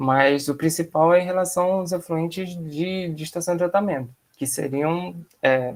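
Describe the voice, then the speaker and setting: A man with a fairly high pitch talks with fairly even intonation. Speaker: environmental engineer. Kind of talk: seminar Q&A. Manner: fast.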